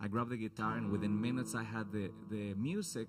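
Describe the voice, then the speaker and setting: With a Mexican accent, a man talks at a very fast pace in a fairly low pitch with fairly even intonation, and audible room echo is present. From Mexico, Guadalajara. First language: Spanish. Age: 30s. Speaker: singer-songwriter. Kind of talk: onstage introduction to a song. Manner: casual, halting.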